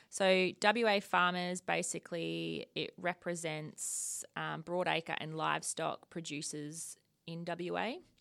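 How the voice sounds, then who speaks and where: A woman with an Australian accent at a very slow pace, hardly any pauses and big swings in loudness, on a very clean recording with a silent background. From rural Victoria, Australia. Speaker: agricultural policy manager. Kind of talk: casual interview.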